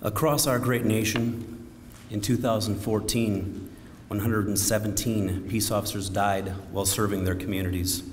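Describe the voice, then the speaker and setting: A man talks in an ordinary speaking voice, fairly low in pitch, at a moderate pace. His intonation is fairly even, and his loudness stays very even. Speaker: county sheriff. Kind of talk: memorial service keynote speech.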